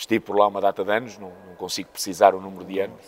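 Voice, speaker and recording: A man with a fairly low-pitched voice. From northern Portugal (Póvoa de Varzim), born in Mozambique. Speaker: basketball coach. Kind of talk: interview. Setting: basketball club venue.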